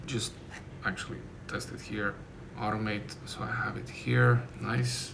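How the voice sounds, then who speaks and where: A man with a non-native accent speaks amid noticeable background noise and audible room echo. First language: not English. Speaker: software developer streamer. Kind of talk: live coding stream, thinking aloud. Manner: halting, self-correcting.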